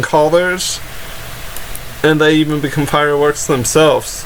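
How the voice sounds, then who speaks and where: Against noticeable background noise, a man talks in a fairly high voice. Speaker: anime reviewer and YouTuber. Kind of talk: casual episode review talk to camera.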